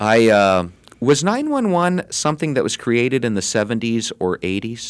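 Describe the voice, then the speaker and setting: Very clean, with a silent background, the recording holds an unremarkable speaking voice at a moderate pace. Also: man. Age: 40s. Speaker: radio show co-host / interviewer. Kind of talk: casual interview. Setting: studio.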